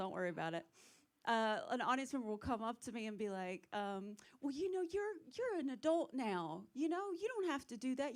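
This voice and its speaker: A woman's high voice with a strong Southern US accent, very wide pitch swings and a moderate pace. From South Carolina. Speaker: stand-up comedian. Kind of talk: stand-up.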